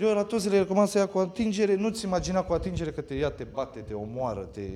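A man talks at a very fast pace in a high voice, his intonation lively and his loudness swinging widely, over noticeable background noise. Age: 30s. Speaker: escape room owner. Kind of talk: casual chat. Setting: on location at his escape house.

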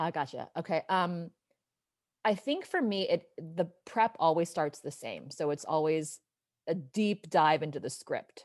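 A woman with an American accent and a normal speaking voice talks at a fairly slow pace and a fairly low pitch, with ordinary pitch variation. The background is quiet. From Southern California. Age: 40s. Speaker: actress. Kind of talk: casual interview chat.

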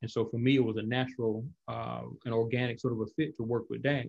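A man talks with an Alabama accent. His pitch is medium and his pace fairly quick. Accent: Southern US, Alabama. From Montgomery, Alabama. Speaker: professor and author. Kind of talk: interview conversation. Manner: casual, conversational.

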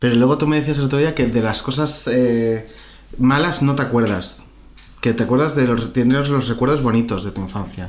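In an ordinary speaking voice, a man speaks at medium pitch with ordinary pitch variation. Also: moderate pace. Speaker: podcast host interviewing his grandmother. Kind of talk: casual chat.

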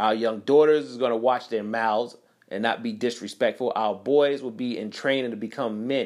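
A man speaks at medium pitch and a fairly quick pace, with an animated tone. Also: very clean recording, silent background. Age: 30s. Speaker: podcast host. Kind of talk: solo commentary monologue.

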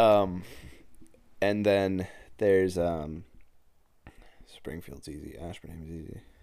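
Very deep and low, a man's dark, mellow voice with an American accent moves at a very slow pace, with long, frequent pauses, fairly even intonation, and audible room echo. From central Massachusetts (Worcester area). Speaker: podcast host. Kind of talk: casual chat.

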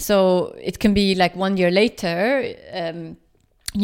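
A woman talks with a Swedish accent. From Sweden, Stockholm. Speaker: project founder and journalist. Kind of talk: interview. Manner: halting, many fillers.

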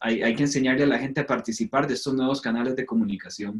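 At a very fast pace, a man speaks at a medium pitch. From Costa Rica. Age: 30s. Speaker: worship pastor and musician. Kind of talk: casual panel discussion.

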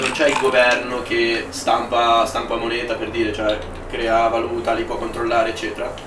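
A man speaks at a moderate pace with ordinary pitch variation. Audible room echo and noticeable background noise surround him. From Milan, Italy. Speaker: podcast co-host, economics student. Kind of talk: casual chat.

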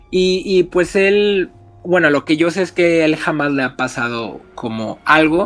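A man talks at a high pitch over background music. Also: ordinary pitch variation, fairly slow pace. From Mexico, Reynosa, Tamaulipas. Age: 20s. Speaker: communications graduate. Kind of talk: casual chat, storytelling. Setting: remote call from home.

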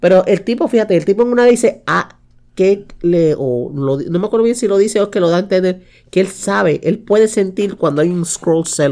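The tone is dark and mellow, with lively intonation. Delivery moves at a fairly quick pace. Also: woman, medium pitch for a woman. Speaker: podcast co-host. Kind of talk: casual chat.

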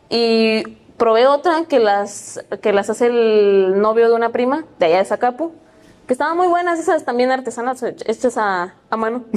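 A woman with a Mexican accent, fairly high in pitch and lively in intonation, at a moderate pace and very even loudness. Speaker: podcast guest. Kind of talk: casual chat.

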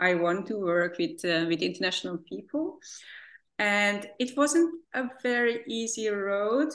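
This woman speaks with a Hungarian accent at a fairly slow pace. Her medium pitch moves in very wide swings. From Hungary. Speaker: therapist. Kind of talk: interview. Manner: hesitant, many fillers.

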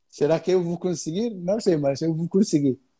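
With an Arabic accent, a man speaks in a high pitch and a dark, mellow tone, his pitch varying in an ordinary way. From Egypt. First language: Arabic (speaking Portuguese). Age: 20s. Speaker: tour guide. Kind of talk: casual interview. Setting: live stream.

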